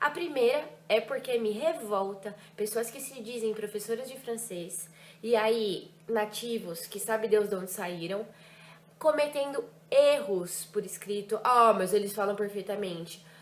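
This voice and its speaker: An animated woman's voice, fairly high in pitch with ordinary pitch variation, moves at a fairly slow pace with big swings in loudness over noticeable background noise. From Brazil, Ribeirão Preto (São Paulo state). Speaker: French teacher. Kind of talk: vlog reflection.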